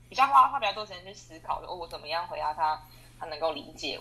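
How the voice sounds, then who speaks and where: Over noticeable background noise, a woman with a fairly low pitch speaks at a very fast pace with lively intonation. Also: big swings in loudness. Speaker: export sales manager. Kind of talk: testimony interview. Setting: online interview. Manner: hesitant with many fillers.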